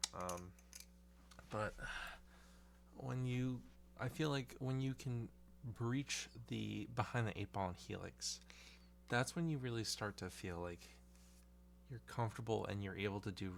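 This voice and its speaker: A soft-spoken voice at a fairly slow pace, broken by long, frequent pauses. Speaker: balisong hobbyist video creator. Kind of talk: casual monologue. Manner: halting.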